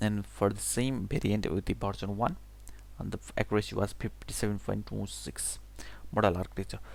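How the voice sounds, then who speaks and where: A man speaks at a fairly quick pace with a non-native accent. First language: not English. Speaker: English learner. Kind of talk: reading a technical blog aloud. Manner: unrehearsed, halting.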